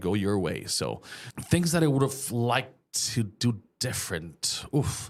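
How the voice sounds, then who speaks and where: A medium-pitched male voice with a slight Mexican accent on a very clean recording with a silent background. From Mexico. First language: Spanish. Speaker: small business owner. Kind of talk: casual interview chat.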